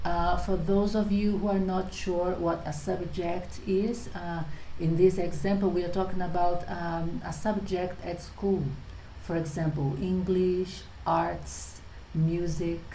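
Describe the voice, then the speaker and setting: A woman's fairly low voice in a Portuguese accent, very slow and monotone with flat intonation, amid noticeable background noise and audible room echo. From Brazil. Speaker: English teacher. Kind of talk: tutorial.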